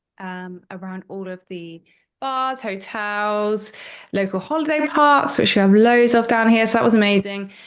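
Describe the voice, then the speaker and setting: A woman with a West Country accent at a medium pitch and moderate pace, ordinary pitch variation, over a quiet background. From Cornwall, South West England. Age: 20s. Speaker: marketer and podcast producer, former musician. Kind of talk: interview.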